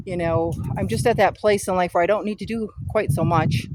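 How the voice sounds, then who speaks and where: There is noticeable background noise behind a woman speaking. She talks fairly quickly with lively intonation. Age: 60s. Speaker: author and gardening vlogger. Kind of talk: casual chat. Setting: outdoors. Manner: relaxed, conversational.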